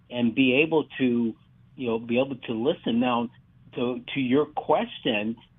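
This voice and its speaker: Here is a man with a normal speaking voice at medium pitch and ordinary pitch variation. He talks at a fairly slow pace. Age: 60s. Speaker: track and field coach. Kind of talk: radio interview.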